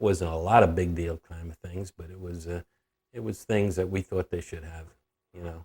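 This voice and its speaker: At a moderate pace, a man with a very deep, low pitch speaks in a somewhat breathy, monotone, flat way, on a very clean recording that is dry and close with no echo and a silent background. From New York, Long Island. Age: 70s. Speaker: grandfather telling life story. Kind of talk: interview reminiscence. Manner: halting, many fillers.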